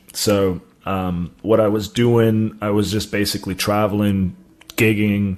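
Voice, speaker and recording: Speaking at a moderate pace, a man with an American accent uses a fairly low voice. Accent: sounds American to people. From South Africa. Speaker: cannabis writer. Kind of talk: interview.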